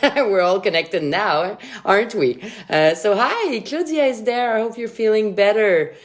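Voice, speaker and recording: A woman in a Quebec accent, with very wide pitch swings and a moderate pace. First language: French. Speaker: sommelier. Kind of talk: tutorial; casual chat. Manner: animated.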